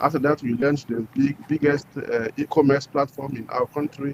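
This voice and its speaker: A man in a West African French accent speaks at a fairly high pitch with fairly even intonation. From Burkina Faso. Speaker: entrepreneur. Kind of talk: interview. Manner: halting.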